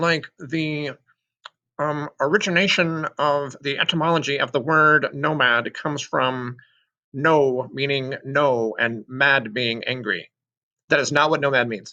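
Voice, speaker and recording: Fairly high-pitched with ordinary pitch variation, a man speaks at a fairly slow pace in a bright, sharp tone. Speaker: sixth grade social studies teacher. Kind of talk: recorded assignment walkthrough for students.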